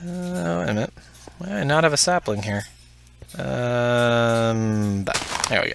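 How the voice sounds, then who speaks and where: Against noticeable background noise, a man of medium pitch speaks at a fairly slow pace with very wide pitch swings. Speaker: gaming YouTuber. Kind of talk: let's play commentary. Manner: casual, hesitant with fillers.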